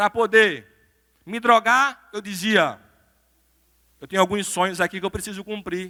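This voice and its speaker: A man uses a raised, projected voice with a bright, sharp tone. The sound is dry and close with no echo, on a very clean recording with a silent background. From Brazil, Recife (Pernambuco). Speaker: pastor and lawyer, motivational speaker. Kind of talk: motivational sermon-style talk. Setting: church stage with audience.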